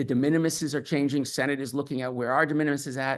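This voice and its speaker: Against a quiet background, the speech runs at a very fast pace with fairly even intonation. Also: man. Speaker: industry expert panelist. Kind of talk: panel presentation.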